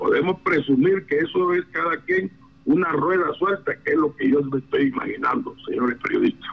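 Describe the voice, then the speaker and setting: A man's voice at very even loudness, over noticeable background noise. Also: moderate pace. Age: 60s. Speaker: constitutional lawyer and political analyst. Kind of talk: news radio interview.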